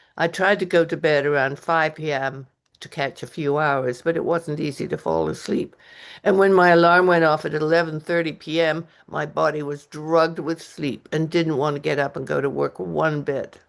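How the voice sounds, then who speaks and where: Against a quiet background, a woman talks at a moderate pace. Her pitch is very deep and low, and her intonation is fairly even. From English Canada. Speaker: author and retired costume designer. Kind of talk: reading aloud from own memoir. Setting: open mic reading event.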